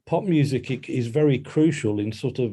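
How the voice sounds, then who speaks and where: In a quiet background, a man's somewhat breathy voice carries a dark, mellow tone and ordinary pitch variation. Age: 50s. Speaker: music journalist and author. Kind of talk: podcast interview. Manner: hesitant, with many fillers and restarts.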